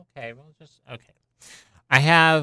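The tone is bright and sharp, the sound dry and close with no echo, and the recording is very clean over a silent background. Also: man. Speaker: radio host. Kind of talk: radio DJ patter: song intros and back-announcing. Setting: radio studio. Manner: halting, filler-heavy ('um'), plain and low-key.

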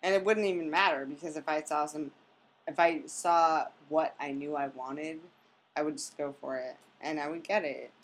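At a moderate pace, a woman speaks with a very deep, low pitch, fairly even intonation and big swings in loudness. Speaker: podcast guest. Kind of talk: casual chat.

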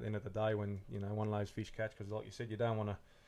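A man's fairly low, dark and mellow voice with an Australian accent and flat, monotone intonation. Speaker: podcast co-host, lure maker. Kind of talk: casual chat. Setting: home shed recording.

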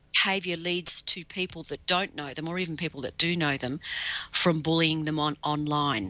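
A woman with an Australian accent, a very deep, low pitch, ordinary pitch variation and a bright, sharp tone, over a quiet background. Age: 50s. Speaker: cyber safety educator. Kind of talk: interview. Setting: video call.

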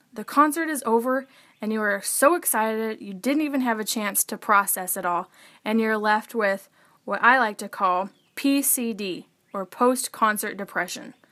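Heard in a very clean recording with a silent background, the voice has a bright, sharp tone, ordinary pitch variation and a moderate pace. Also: woman, fairly high pitch for a woman. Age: 20s. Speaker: podcaster. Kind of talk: solo podcast monologue. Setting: bedroom.

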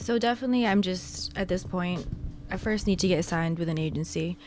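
A woman talks at a fairly quick pace while noticeable background noise runs underneath. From Philippines. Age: 20s. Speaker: model. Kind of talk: casual chat.

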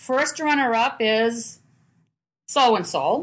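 Vocal fry marks a voice with a New England accent, heard over a quiet background. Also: woman. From Manchester, New Hampshire. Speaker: guest's parent, storyteller. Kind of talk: storytelling. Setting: on location at a family home.

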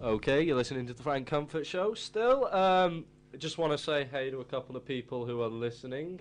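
Here a man with an unremarkable speaking voice talks at a fairly quick pace. His pitch is fairly high, with ordinary pitch variation, and the background is quiet. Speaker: radio host. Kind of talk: casual student radio show chat. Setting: studio. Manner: rambling, casual, filler-heavy, laughing; jokey, chatty DJ patter with station jingles and plugs.

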